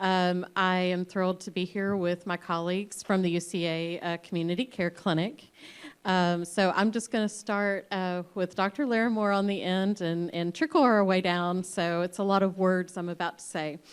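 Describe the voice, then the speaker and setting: At a moderate pace and with hardly any pauses, a woman speaks at a medium pitch with fairly even intonation. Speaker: psychologist and panel moderator. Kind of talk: panel introduction. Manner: loud, projecting.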